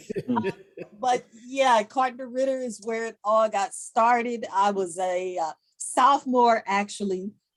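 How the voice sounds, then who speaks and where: Woman with a St. Louis accent, fairly high pitch, ordinary pitch variation and a fairly slow pace. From US Midwest, St. Louis, Missouri. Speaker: journalist. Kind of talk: podcast interview.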